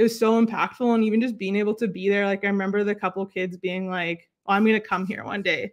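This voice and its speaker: Against a quiet background, a woman talks at a very fast pace with hardly any pauses and a medium pitch. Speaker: basketball coach and educator. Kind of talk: casual interview. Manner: loud; animated.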